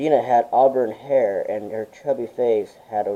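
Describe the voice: Someone does plain reading aloud here.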